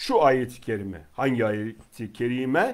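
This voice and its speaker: The background stays quiet while a man talks. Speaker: religious teacher. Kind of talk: religious lecture. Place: home room.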